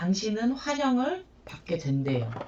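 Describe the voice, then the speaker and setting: A soft-spoken woman whose pitch swings very widely as she talks. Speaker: shaman and tarot reader. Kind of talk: tarot reading for viewers. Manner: soft, low effort, slurred pronunciation.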